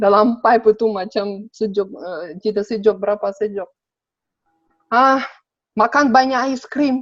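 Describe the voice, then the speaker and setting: A woman with a Sabah accent speaks at a fairly slow pace. Her pitch is fairly high, with ordinary pitch variation. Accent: Sabah Malay. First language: Russian (speaking Indonesian). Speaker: interview guest. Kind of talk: casual interview. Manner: halting, many fillers.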